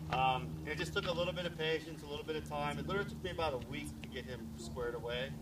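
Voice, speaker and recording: A man talks at a very fast pace with hardly any pauses. Loud background noise fills the recording. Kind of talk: demonstration explanation. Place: street. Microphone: camera far.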